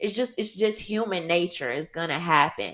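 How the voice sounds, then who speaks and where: This woman has a Southern US accent, a fairly low pitch and an animated tone with ordinary pitch variation. The recording is very clean, with a silent background. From US South, Mississippi. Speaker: content creator and gun rights advocate. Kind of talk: podcast interview.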